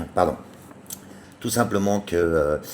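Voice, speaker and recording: A voice with a Parisian accent comes through over noticeable background noise. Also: man. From France, Paris. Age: 50s. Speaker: chef and children's book author. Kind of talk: book presentation. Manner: halting, many fillers; casual.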